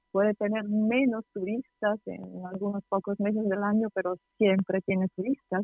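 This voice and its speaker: Speaking in an Italian accent, a woman keeps a moderate pace and a monotone, flat intonation. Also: medium pitch for a woman. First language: Italian (speaking Spanish). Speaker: tour guide. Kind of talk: interview. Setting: phone call. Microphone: poor connection.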